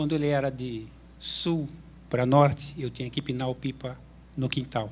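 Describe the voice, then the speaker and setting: At a fairly slow pace, a man talks in a medium pitch, somewhat breathy and with monotone, flat intonation. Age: 50s. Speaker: graduate student, audience questioner. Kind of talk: audience question with personal anecdote.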